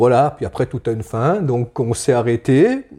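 A man speaks at a fairly slow pace. His voice has a medium pitch and a dark, mellow tone. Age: 60s. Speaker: farmer. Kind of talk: interview. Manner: halting.

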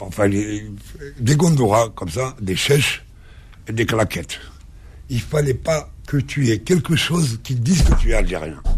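Very slow male speech at a medium pitch with very wide pitch swings, against noticeable background noise. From Algeria, Kabylie village then Algiers. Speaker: journalist and actor. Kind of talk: radio interview.

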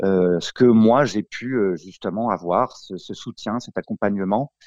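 A man speaks at a very slow pace with ordinary pitch variation. The background is quiet, and the sound is dry and close with no echo. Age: 40s. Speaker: franchisee, roofing business owner. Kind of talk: interview. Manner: halting.

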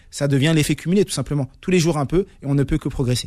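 Recorded very cleanly with a silent background and a dry, close sound with no echo, a man speaks at a very fast pace. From Paris suburbs (Saint-Ouen). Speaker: speed-reading champion and author. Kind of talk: radio interview.

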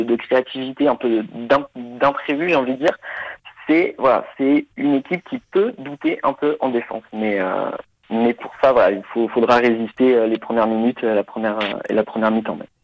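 A man speaks at a moderate pace in an unremarkable speaking voice, with medium pitch and ordinary pitch variation. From France, Nantes. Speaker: football expert on German football. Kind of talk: casual chat.

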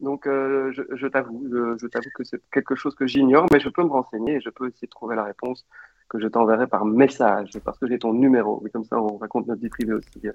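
Using an unremarkable speaking voice, a man talks fairly quickly at a medium pitch, his intonation fairly even. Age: 40s. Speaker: football commentator. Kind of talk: casual interview.

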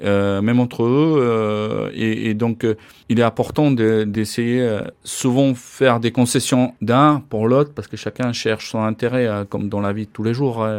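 Against a quiet background, a man with a medium pitch speaks fairly slowly with fairly even intonation. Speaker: ice hockey coach. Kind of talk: interview. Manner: halting, many hesitations and repeats.

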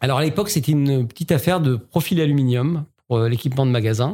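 On a very clean recording with a silent background, a man with a dark, mellow tone and somewhat breathy voice speaks at a moderate pace with ordinary pitch variation. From Alsace, France (Strasbourg). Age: 50s. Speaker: entrepreneur. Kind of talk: interview. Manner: hesitant, many fillers.

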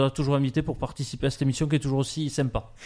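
This man has a fairly high pitch. The recording is very clean, with a silent background. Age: 40s. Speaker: cycling club president. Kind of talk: radio interview.

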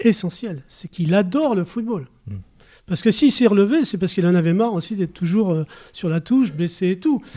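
A man with a high pitch and a dark, mellow tone speaks at a very fast pace with lively intonation, in a very clean recording with a silent background. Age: 70s. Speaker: youth football coach. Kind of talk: casual chat.

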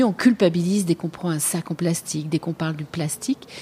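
A woman with a fairly low pitch has a plain, everyday voice and ordinary pitch variation, recorded dry and close with no echo. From Paris, France. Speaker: podcast host. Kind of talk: interview.

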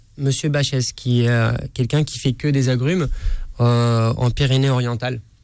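At a fairly slow pace, a man talks in a monotone, flat intonation at medium pitch, his loudness very even throughout. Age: 30s. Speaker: chef. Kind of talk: radio interview. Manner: halting.

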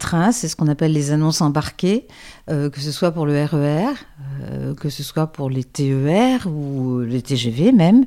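A woman at a fairly slow pace, lively in intonation and dark and mellow in tone, in a very clean recording with a silent background. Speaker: voice-over artist. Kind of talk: interview. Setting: at her home. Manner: hesitant, repeats words.

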